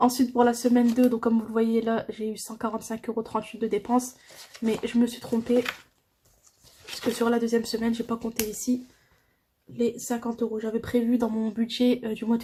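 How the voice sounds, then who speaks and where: Pausing long and often, a woman with a fairly high pitch speaks at a moderate pace in a monotone, flat intonation. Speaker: budgeting vlogger. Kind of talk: casual tutorial. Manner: hesitant.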